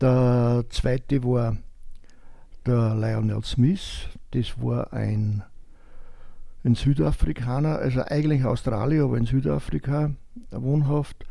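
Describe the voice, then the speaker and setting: A man's medium-pitched voice with a dark, mellow tone and ordinary pitch variation, at a very slow pace with long, frequent pauses. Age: 70s. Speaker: retired tailor and sport shooter. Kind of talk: casual interview.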